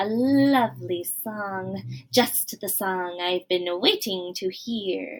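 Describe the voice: A woman's put-on character voice at medium pitch and a very slow pace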